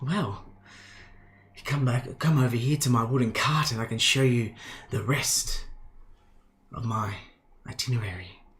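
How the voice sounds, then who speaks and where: A man whispers in a husky, put-on character voice. He moves at a moderate pace with long, frequent pauses. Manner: whispering, luring.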